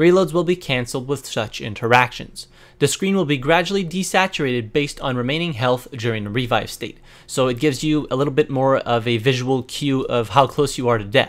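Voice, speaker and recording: The man's pitch sits in the medium range. He talks fairly quickly, with ordinary pitch variation. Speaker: gaming youtuber. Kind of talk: game update walkthrough. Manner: fast.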